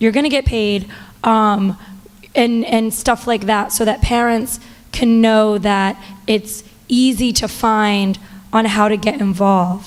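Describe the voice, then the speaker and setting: Fairly slow delivery with long, frequent pauses, very even loudness and fairly even intonation. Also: woman. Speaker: parent. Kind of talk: public comment at meeting.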